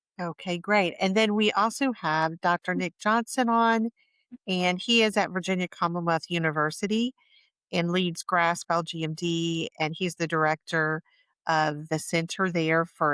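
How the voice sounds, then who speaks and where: A woman with a normal speaking voice talks at a moderate pace, with a fairly low pitch and ordinary pitch variation. The recording is very clean with a silent background, and the sound is dry and close with no echo. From Boston. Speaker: podcast host. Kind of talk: panel moderation.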